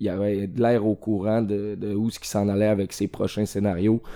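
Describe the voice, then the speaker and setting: A man's dark, mellow voice, fairly low in pitch, with monotone, flat intonation and a Quebec accent. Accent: Québécois French. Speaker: film podcast guest. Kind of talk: casual chat.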